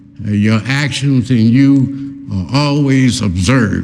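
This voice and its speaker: In an American accent, a man speaks with an unremarkable speaking voice, a medium pitch and ordinary pitch variation. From Oklahoma, USA. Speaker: war veteran. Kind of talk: public talk to live audience. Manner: conversational, storytelling.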